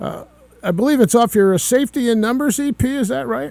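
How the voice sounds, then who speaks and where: A man talks at a fairly quick pace with lively intonation. The sound is dry and close with no echo, though background noise is noticeable. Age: old. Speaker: radio host and retired musician. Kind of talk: radio interview. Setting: radio studio.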